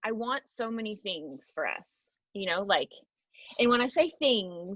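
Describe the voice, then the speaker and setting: Loud and animated, a woman speaks at a fairly high pitch with very wide pitch swings. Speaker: team leader. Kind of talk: team call pep talk.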